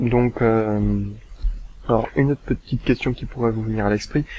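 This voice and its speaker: A man at medium pitch and moderate pace, with fairly even intonation. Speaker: gaming youtuber. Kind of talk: gameplay commentary. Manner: hesitant, many fillers.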